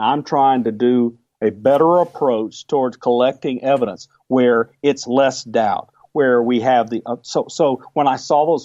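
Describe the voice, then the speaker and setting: A man talks fairly slowly at a medium pitch in an unremarkable speaking voice, with fairly even intonation. The sound is dry and close, with no echo. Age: 60s. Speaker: UFO researcher. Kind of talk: interview.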